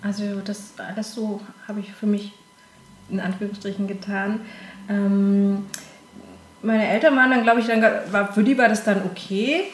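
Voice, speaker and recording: Amid noticeable background noise and audible room echo, a woman at a medium pitch talks with fairly even intonation at a moderate pace, with long, frequent pauses. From southern Germany, Konstanz on Lake Constance. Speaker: casting director. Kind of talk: interview. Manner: hesitant, many filler sounds.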